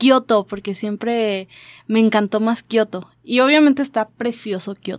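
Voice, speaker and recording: This woman has an unremarkable speaking voice, fairly high in pitch, with fairly even intonation and a fairly slow pace. The recording is very clean and dry, close and without echo, over a silent background. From Mexico. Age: 20s. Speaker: radio show's sound operator. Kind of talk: casual chat.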